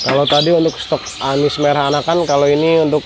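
A man's monotone, flat intonation against noticeable background noise. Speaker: vlogger surveying bird prices. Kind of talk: casual vlog commentary. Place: market. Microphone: phone near.

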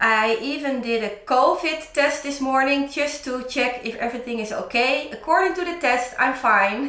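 Audible room echo surrounds a woman's raised, projected voice, which has ordinary pitch variation. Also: moderate pace, hardly any pauses. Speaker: DIY vlogger. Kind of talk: casual vlog chat. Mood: cheerful, laughing often. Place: home room. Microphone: camera far.

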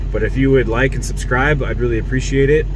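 A man is speaking, with noticeable background noise. The sound is dry, with no echo. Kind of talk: casual vlog chat. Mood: pleased, relaxed. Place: car. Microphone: phone near.

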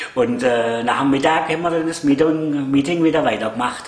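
Speaking with a Swabian accent, a man talks at a fairly slow pace. Audible room echo surrounds his voice. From Swabia, Germany. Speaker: vlogger. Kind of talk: casual talk to camera. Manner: hesitant, chatty. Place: home room. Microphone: camera far.

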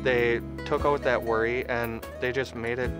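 A man speaks over clear background music, the sound dry with no echo. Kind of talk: interview answer. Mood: earnest, grateful. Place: street.

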